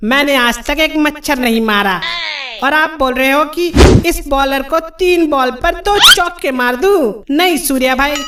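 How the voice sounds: A man does a cartoonish character voice, extremely high and bright with a sharp tone and ordinary pitch variation. He moves at a fairly slow pace with long, frequent pauses over faint background noise.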